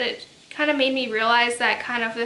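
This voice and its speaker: Soft-spoken and flat in intonation, a woman talks at a moderate pace in a fairly high pitch, with noticeable background noise behind her. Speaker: book reviewer. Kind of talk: casual talk to camera.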